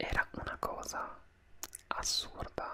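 The background noise is loud. Through it, a man can be heard talking. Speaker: beauty vlogger. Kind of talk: casual vlog chat. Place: home room. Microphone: studio mic.

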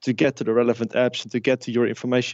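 In a Dutch accent, a man of medium pitch speaks at a very fast pace. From Netherlands. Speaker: tech company founder and CEO. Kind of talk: interview. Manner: halting, with fillers and repetitions.

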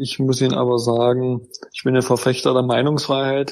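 The man's pitch sits in the medium range, and his pace is fairly quick. His intonation is monotone and flat. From Saxony-Anhalt, Germany (Gräfenhainichen). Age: 30s. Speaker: politician. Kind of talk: interview.

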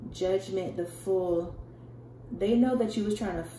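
Light background noise and audible room echo around a woman at a moderate pace. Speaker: tarot reader. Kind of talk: tarot reading commentary. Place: home room. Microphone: phone near.

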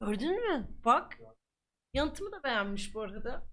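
Speaking at a fairly slow pace, a woman uses a high voice with very wide pitch swings. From Ankara, Turkey. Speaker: streamer. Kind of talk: live stream chat. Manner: animated; repetitive, laughing.

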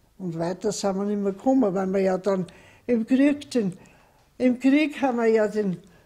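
Recorded very cleanly against a silent background, a woman with a somewhat breathy, dark, mellow tone speaks at a moderate pace with ordinary pitch variation. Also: medium pitch for a woman. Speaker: contemporary witness. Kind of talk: interview answer.

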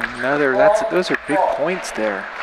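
A man's excited tone over crowd noise in the background. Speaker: play-by-play commentator. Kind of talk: live sports commentary. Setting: live table tennis event commentary. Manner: fast, excited play-by-play calling; clipped, staccato, rapidly calling each shot.

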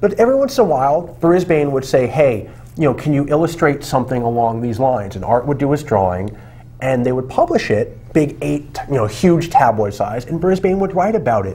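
With an ordinary speaking voice, a man talks fairly quickly at a fairly high pitch, his intonation lively. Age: 40s. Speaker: magazine editor and co-host. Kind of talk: casual political discussion. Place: studio.

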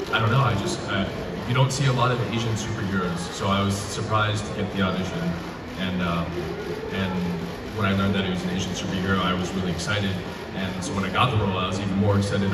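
Over loud background noise, a man rattles on at a very fast pace. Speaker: guest actor on stage. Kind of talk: interview answer. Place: hall.

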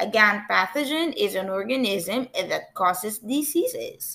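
This woman's fairly high voice moves through very wide pitch swings. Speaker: teacher. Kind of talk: lecture. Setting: recorded video lesson.

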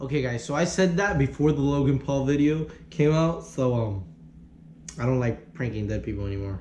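Animated tone from a man with an American accent, a fairly high pitch and lively intonation, over noticeable background noise. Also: fairly quick pace. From US South, Miami, Florida. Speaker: YouTuber. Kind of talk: casual reaction vlog. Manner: loud.

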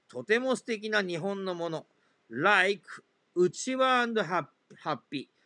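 A man with a high, bright, sharp voice projects it loudly at a very slow pace with lively intonation against a quiet background. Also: dry, close sound with no echo. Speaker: English exam tutor. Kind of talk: tutorial.

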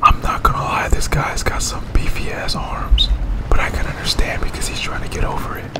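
A man is whispering. His pace is moderate. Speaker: gaming streamer. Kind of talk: casual gameplay commentary. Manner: profane, frustrated, rage-prone. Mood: frustrated, swearing, bursts of rage. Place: home room.

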